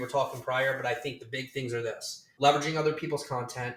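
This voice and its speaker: A man with a fairly high pitch has an unremarkable speaking voice. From Virginia, US. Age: 40s. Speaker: social media marketing executive. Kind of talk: podcast interview.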